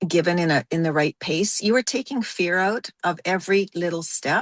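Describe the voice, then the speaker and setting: With an ordinary speaking voice, a woman talks at a medium pitch and a moderate pace with ordinary pitch variation, in a dry, close sound with no echo and a quiet background. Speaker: course participant. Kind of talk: casual chat.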